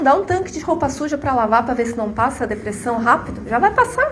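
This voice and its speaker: Her pitch high and varying in an ordinary way, a woman speaks amid audible room echo and noticeable background noise. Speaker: spiritist lecturer. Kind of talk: lecture.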